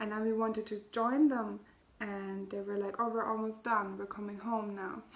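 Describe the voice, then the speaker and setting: Speaking at a moderate pace with a non-native accent, a woman uses a monotone, flat intonation at a fairly high pitch over noticeable background noise. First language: not English. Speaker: spiritual healer and podcast host. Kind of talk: casual spiritual talk.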